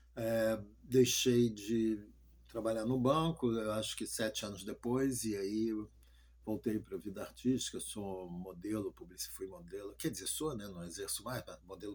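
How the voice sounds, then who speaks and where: A man's medium-pitched voice moves at a fairly slow pace, with ordinary pitch variation. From Rio de Janeiro, Brazil. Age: 60s. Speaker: pastor. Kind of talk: testimony. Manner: halting.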